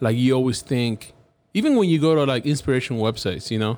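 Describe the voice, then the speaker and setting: A man talks at a very fast pace with a Cuban accent. His pitch shows ordinary variation. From Cuba (Havana). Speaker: graphic designer. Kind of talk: casual interview. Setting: studio. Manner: animated.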